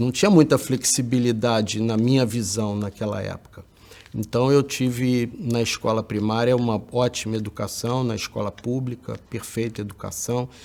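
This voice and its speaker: Speaking at a fairly slow pace, a man keeps his intonation fairly even. His pitch is medium. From Brazil, Rio de Janeiro state. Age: 60s. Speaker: educator. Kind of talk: talk recounting personal education history. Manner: hesitant, many filler words.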